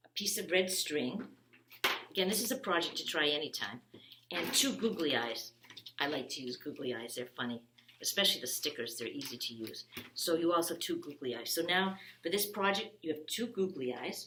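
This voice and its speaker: Noticeable background noise lies beneath a woman whose fairly low voice swings very widely in pitch. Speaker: children's librarian. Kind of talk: craft tutorial. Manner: fast; halting, many ums.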